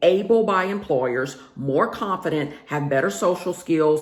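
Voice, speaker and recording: This woman speaks with a Southern US accent at a fairly low pitch. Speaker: career and lifestyle vlogger. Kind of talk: casual vlog monologue. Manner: conversational, with filler words.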